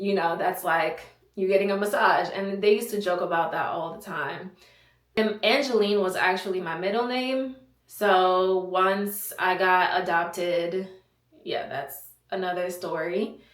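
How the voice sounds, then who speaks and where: Audible room echo surrounds a woman speaking at a fairly slow pace with ordinary pitch variation. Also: medium pitch for a woman. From Haiti. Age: 20s. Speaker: content creator, soldier. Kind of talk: casual Q&A vlog. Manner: casual, chatty.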